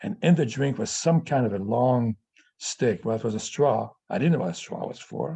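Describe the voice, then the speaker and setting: The voice has a dark, mellow tone and is somewhat breathy. It moves at a moderate pace with lively intonation. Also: man, medium pitch for a man. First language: Yiddish. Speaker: family elder telling life story. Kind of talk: personal testimony on video call. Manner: halting, with repeated stutters.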